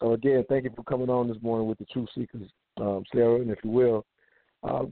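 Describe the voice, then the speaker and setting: A man's normal speaking voice at medium pitch, with fairly even intonation. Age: 40s. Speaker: radio talk show host. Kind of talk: radio talk show.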